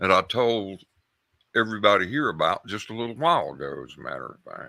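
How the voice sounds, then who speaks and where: A man talks very fast with big swings in loudness. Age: 70s. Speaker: caller, Air Force veteran. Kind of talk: call-in storytelling. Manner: halting, repeats words.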